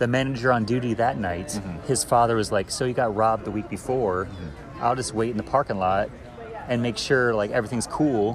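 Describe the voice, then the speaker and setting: A man with an American accent at a medium pitch, fairly quick pace and ordinary pitch variation, over noticeable background noise. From Florida, US. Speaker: podcast guest, digital artist. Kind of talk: casual chat. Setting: bar.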